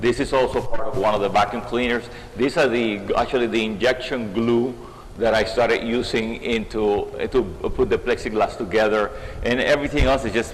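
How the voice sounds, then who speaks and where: Noticeable background noise under a male voice of medium pitch, moderately paced and fairly level in intonation. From Cuba, Havana. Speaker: artist. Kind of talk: interview. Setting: art gallery. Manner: halting.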